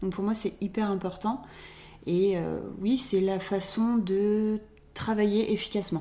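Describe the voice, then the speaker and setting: A woman talks at a very slow pace with long, frequent pauses. Her intonation stays fairly even. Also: medium pitch for a woman. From Reims, France. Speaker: podcast co-host, communication consultant. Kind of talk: casual chat. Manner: hesitant, many fillers.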